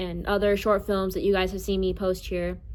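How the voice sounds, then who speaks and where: A woman is speaking. There is audible room echo. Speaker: content creator and voice actor. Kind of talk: casual vlog talk. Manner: casual, filler-heavy.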